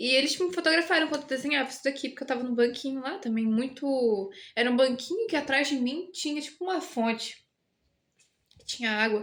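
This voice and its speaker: Her pitch high and her intonation lively, a woman talks at a fairly quick pace. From Brazil. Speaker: artist vlogger. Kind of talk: casual vlog, showing a sketchbook. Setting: at her boyfriend's home.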